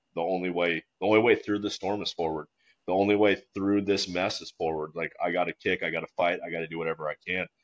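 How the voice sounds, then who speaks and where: A man with a very deep, low pitch talks at a fairly quick pace with fairly even intonation. The sound is dry and close with no echo, over a quiet background. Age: 30s. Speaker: corporate jet pilot. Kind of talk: casual chat.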